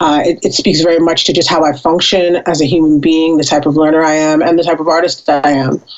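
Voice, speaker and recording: A woman with an American accent talks at a fairly quick pace. She has an ordinary speaking voice, fairly low in pitch. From Brooklyn, New York. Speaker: musician and film composer. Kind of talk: interview.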